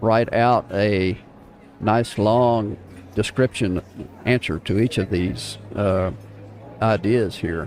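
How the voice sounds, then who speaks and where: A man speaks very slowly, with long, frequent pauses and fairly even intonation. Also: fairly low pitch for a man. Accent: South Texas. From North Texas, Wichita Falls area. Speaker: live stream host, social media coach. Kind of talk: casual live stream talk. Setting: coffee shop live broadcast.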